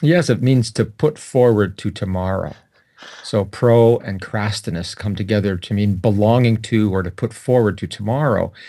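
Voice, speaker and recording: With a Canadian accent, a man speaks at a moderate pace in a dark, mellow tone and fairly low pitch, with ordinary pitch variation, in a very clean recording with a silent background. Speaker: psychology professor. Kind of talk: interview.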